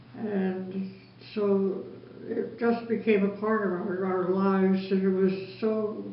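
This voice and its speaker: Noticeable background noise behind a woman talking at a medium pitch. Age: 80s+. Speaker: lifelong church member. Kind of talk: interview answer.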